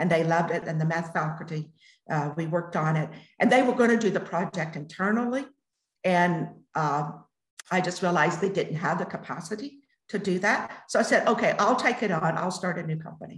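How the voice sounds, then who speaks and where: Somewhat breathy and fairly low in pitch, a woman with an American accent speaks at a fairly quick pace. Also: ordinary pitch variation. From United States. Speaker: entrepreneur. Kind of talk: interview. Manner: halting.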